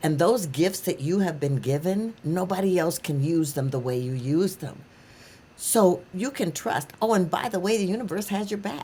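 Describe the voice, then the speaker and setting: A woman speaks at a moderate pace in a fairly low pitch, her dark, mellow tone somewhat breathy and her intonation lively. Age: 70s. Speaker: author and coach. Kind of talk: interview.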